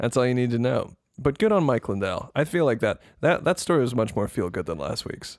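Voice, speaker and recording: Speaking at a fairly quick pace, a man with a medium-pitched voice sounds animated, his pitch swinging very widely. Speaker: podcast host. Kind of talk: casual comedy advice show banter. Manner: joking, animated.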